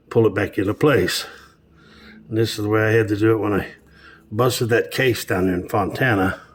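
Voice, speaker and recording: A man's fairly low voice with long, frequent pauses over noticeable background noise. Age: 70s. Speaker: truck driver and mechanic. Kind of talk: casual narration over video footage. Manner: relaxed, with fillers and hesitations.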